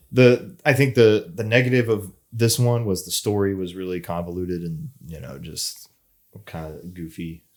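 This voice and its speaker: A man speaks with a fairly low pitch and lively intonation. His loudness swings a lot. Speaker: podcast co-host. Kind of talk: casual chat. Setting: studio. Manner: fast.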